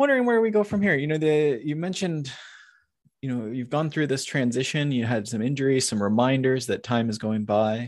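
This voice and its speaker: A man's ordinary speaking voice at a medium pitch, with lively intonation and a fairly quick pace, over a quiet background. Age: 30s. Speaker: cycling coach and podcast co-host. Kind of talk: casual interview.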